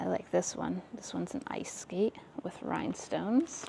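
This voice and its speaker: Noticeable background noise beneath speech at a fairly slow pace. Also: woman. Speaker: vintage shop vlogger. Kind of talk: casual shopping vlog. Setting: in a store. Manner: loud.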